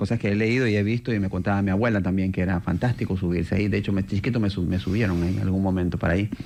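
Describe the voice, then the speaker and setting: Fairly low in pitch, a man speaks at a very fast pace with fairly even intonation. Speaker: urban mobility expert. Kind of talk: radio interview.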